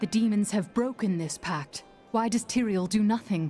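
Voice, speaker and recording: Over clear music in the background, a woman puts on a character voice at a medium pitch and a moderate pace. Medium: video game. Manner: resolute, steady.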